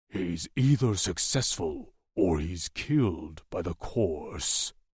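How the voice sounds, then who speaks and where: A man puts on a growling character voice with a very deep, low pitch. He speaks at a very slow pace with lively intonation. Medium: read story. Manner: blunt, gruff.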